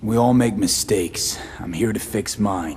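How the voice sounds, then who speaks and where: A man puts on a raspy character voice at a fairly low pitch. He keeps a moderate pace over light background noise. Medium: video game. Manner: clipped, drops subjects, casual slang.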